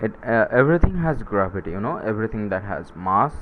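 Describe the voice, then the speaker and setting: In a non-native accent, a man speaks at medium pitch. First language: not English. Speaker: science YouTuber. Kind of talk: casual explainer monologue. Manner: halting, many fillers and self-corrections.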